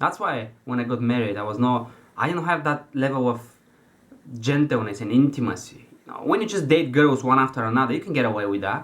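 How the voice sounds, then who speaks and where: With a non-native accent, a man of medium pitch talks at a fairly quick pace with ordinary pitch variation over noticeable background noise. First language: not English. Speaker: self-help coach. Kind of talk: motivational talk. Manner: halting.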